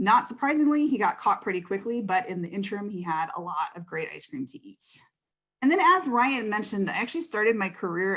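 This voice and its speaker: Lively intonation carries a woman's medium-pitched voice. She speaks at a fairly quick pace. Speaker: panel moderator. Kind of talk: moderating a webinar panel. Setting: online video panel. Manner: fast when excited.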